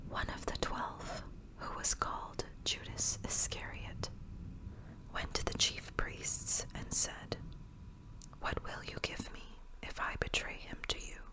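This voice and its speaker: Whispering unfolds at a very slow pace against noticeable background noise. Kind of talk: bible reading for sleep and relaxation. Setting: rain and thunder ambience. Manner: whispered.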